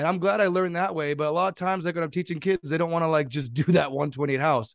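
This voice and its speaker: A fairly high-pitched man with an American accent and ordinary pitch variation, in a dry, close sound with no echo against a quiet background. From US West Coast, San Jose, California. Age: 20s. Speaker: DJ and music producer. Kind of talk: casual chat.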